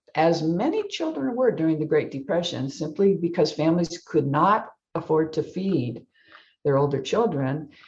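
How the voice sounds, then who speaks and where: Somewhat breathy, a woman with an American accent talks at a very deep, low pitch. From US, Air Force family, partly San Antonio. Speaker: novelist. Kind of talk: author interview.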